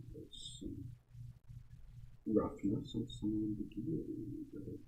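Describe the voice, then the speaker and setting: A soft-spoken man talks at a fairly slow pace. Room echo is audible. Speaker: artist livestreamer. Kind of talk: casual livestream commentary while drawing. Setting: livestream. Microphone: quiet audio, boosted sixteen decibels, mic close to mouth.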